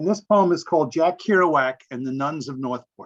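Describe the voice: A man speaks with lively intonation. His pitch sits fairly high. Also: moderate pace.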